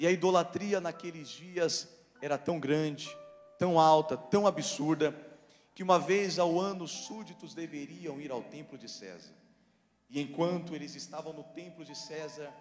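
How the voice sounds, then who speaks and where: Over faint background music, a man talks at a fairly slow pace with ordinary pitch variation and big swings in loudness. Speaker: preacher. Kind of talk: sermon. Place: church. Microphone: handheld.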